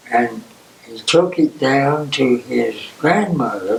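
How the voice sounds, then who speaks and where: Over noticeable background noise, a man with an Appalachian accent talks very slowly at a fairly high pitch with lively intonation. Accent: Southern American (Appalachian). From East Tennessee. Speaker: World War II Navy veteran. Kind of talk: oral history interview answer.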